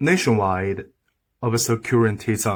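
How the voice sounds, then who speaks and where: Medium in pitch, a man speaks with a strong Chinese accent. The recording is very clean, with a silent background. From China. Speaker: video commentator. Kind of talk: opinion monologue to camera. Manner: halting, broken English; animated.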